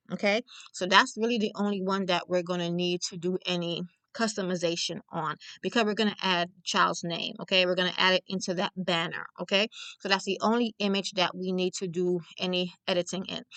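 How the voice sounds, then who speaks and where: A woman with a New York accent speaks at a fairly quick pace in a bright, sharp tone, the sound dry and close with no echo. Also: medium pitch for a woman. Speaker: crafter and small business owner. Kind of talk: tutorial. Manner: fast; casual, chatty.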